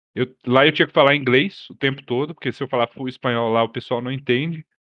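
With a plain, everyday voice, a man talks at a fairly quick pace using fairly even intonation. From Brazil, Brasília. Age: 30s. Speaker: roleplay streamer. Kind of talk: casual chat.

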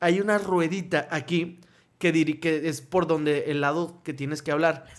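On a very clean recording with a silent background, a man speaks at a high pitch and moderate pace with fairly even intonation. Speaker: podcast co-host. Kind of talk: casual chat.

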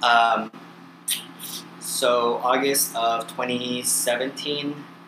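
A man is speaking here. Noticeable background noise can be heard behind him. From US California. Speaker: guest, traveler. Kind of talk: casual chat. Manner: energetic, enthusiastic.

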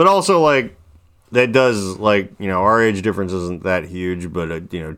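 A very clean recording with a silent background captures a man with an American accent whose pitch varies in an ordinary way. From US Midwest. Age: 40s. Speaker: podcast host. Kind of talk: casual chat.

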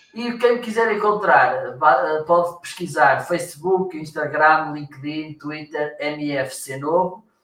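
Speaking at a very slow pace, the man has a fairly high pitch. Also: ordinary pitch variation. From northern Portugal, Viana do Castelo. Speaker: marketing consultant and trainer. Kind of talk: casual interview.

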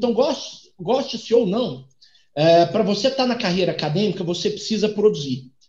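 A man's voice with very wide pitch swings. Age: 30s. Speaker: economist and doctoral student. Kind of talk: interview. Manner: halting, repeats words.

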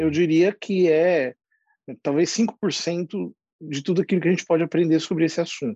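A man's high-pitched voice with a dark, mellow tone, big swings in loudness and ordinary pitch variation, at a moderate pace, in a dry, close sound with no echo and a quiet background. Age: 40s. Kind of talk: interview conversation. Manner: halting, many fillers.

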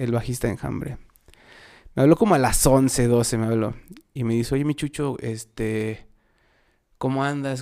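A man speaks in a Mexico City accent at a moderate pace. His medium-pitched voice has a dark, mellow tone. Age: 30s. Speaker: musician. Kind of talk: casual chat.

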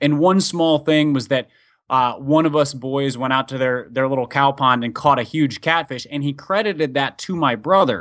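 A normal speaking voice, moderately paced, its pitch varying in an ordinary way. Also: man, fairly high pitch for a man. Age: 30s. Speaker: author and pastor's kid. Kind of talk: casual interview. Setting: remote call.

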